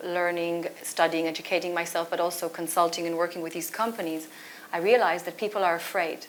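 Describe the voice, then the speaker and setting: Speaking at a fairly quick pace, a woman with a non-native accent keeps a fairly low pitch and monotone, flat intonation. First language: not English. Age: 40s. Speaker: author and culture consultant. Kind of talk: panel discussion. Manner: halting.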